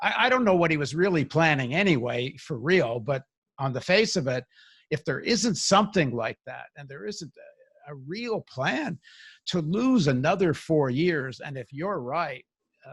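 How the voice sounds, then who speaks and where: Recorded dry and close with no echo against a silent background, a man with a fairly high pitch speaks at a moderate pace, his voice somewhat breathy and his intonation lively. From Canada. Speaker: podcast host. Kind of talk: political interview discussion.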